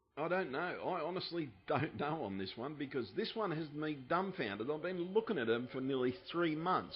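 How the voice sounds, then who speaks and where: With vocal fry and a fairly high pitch, a man talks at a fairly quick pace. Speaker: conspiracy video uploader. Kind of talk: video commentary. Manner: yelling in bursts; softer than usual, partly mellow.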